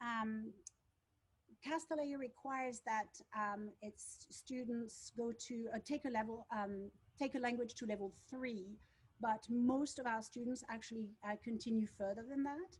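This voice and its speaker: A woman speaks with a French accent at a fairly slow pace. Her pitch is fairly high and her intonation fairly even. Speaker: school teacher. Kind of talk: school presentation. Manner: halting.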